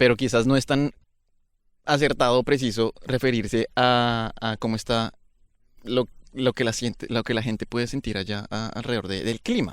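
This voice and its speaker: With a Bogotá accent, a man speaks at a moderate pace and medium pitch with fairly even intonation in a very clean recording with a silent background. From Bogotá, Colombia. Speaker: podcast host. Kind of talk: interview conversation. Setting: outdoors by a river.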